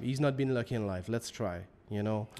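With a Quebec accent, a man speaks at a medium pitch and a fairly quick pace, using ordinary pitch variation. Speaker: business co-founder. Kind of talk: casual chat.

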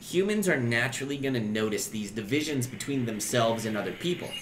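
A man talks at a fairly quick pace with lively intonation. Audible room echo surrounds his voice.

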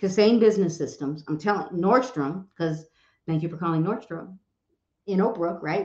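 The background is quiet, though the room echo is audible. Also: woman. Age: 50s. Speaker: real estate coach and social media educator; real estate coach, social media educator. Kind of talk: live stream talk. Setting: live stream on social media. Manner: fast, repetitive. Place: home room.

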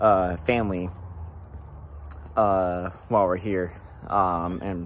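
There is some light noise behind the speech. The voice belongs to a man. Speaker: vlogger. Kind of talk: casual vlog chat. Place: street. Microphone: phone near.

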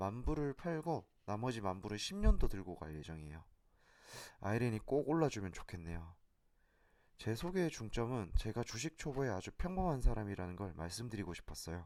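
A man with fairly low pitch and very wide pitch swings is heard in a very clean recording with a silent background. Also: moderate pace. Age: 30s. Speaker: amateur stock investor, vlogger. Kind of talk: personal vlog monologue.

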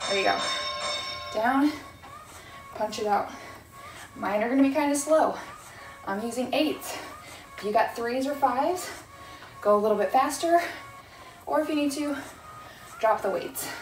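With music in the background and audible room echo, a woman talks at a moderate pace. Her pitch is high, her intonation lively, and her pauses long and frequent. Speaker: fitness instructor. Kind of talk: workout instruction. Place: empty room.

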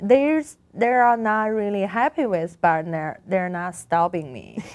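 A woman is speaking. She has a Chinese accent. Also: quiet background. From China, Beijing. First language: Mandarin Chinese. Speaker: artist. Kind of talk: interview. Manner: halting. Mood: calm, reflective. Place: studio. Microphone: lapel.

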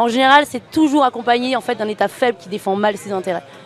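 Talking at a very fast pace, a woman with a high pitch and ordinary pitch variation comes through a dry sound with no echo over light background noise. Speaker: activist representative. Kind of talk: interview. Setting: outdoor street studio. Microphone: handheld.

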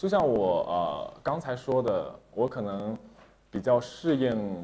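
A man speaks with very wide pitch swings. His tone is dark and mellow. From Shandong, China. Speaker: opera singer. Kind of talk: interview. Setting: studio livestream. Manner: many filler sounds. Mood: polite, earnest. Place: studio.

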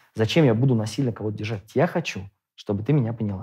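Speaking at a very fast clip with lively intonation, this somewhat breathy voice has a dark, mellow tone over a quiet background. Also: man. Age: 30s. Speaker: father of a large polygamous family. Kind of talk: debate; debate argument, conversational. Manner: halting. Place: studio.

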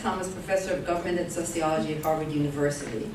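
A woman speaks with audible room echo. Noticeable background noise runs underneath. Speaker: speaker. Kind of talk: formal introduction. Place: hall.

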